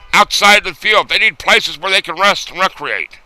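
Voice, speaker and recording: A man is recorded with a dry, close sound and no echo. Noticeable background noise can be heard. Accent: American. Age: old. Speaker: war veteran. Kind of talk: video response to camera.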